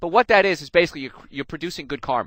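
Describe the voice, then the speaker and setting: With an American accent, a man talks very fast at a fairly high pitch, his voice showing vocal fry and very wide pitch swings in a dry, close, very clean recording with no echo and a silent background. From New Jersey. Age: 40s. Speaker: chiropractor and health radio host. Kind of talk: health talk. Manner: animated.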